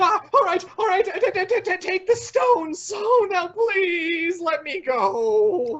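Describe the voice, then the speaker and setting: Using a put-on character voice, a man speaks at an extremely high pitch and a fairly slow pace with hardly any pauses. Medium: audio drama. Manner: peevish, whiny.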